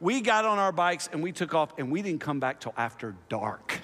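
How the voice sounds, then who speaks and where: A man projects a raised voice in a bright, sharp tone. His intonation is lively. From US South (Oklahoma and Tennessee). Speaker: pastor. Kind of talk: sermon. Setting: church.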